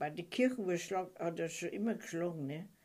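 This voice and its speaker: A woman speaks with a dark, mellow tone at a medium pitch. Her pace is moderate and her pitch variation ordinary. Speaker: grandmother recounting wartime childhood. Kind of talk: oral history interview. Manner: halting.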